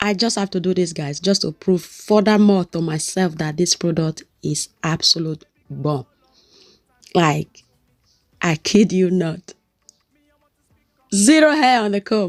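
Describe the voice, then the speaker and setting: A woman speaks at a fairly slow pace with a medium pitch, lively intonation and an animated tone, leaving long, frequent pauses. The sound is dry and close with no echo, and music plays in the background. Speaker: hair care vlogger. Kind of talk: product review tutorial.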